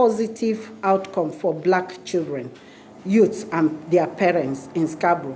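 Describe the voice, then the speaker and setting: Over noticeable background noise, a woman talks at a fairly slow pace with lively intonation. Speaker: community organization director. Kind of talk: speech at a public announcement. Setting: community centre event with audience. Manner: halting, with many fillers and restarts.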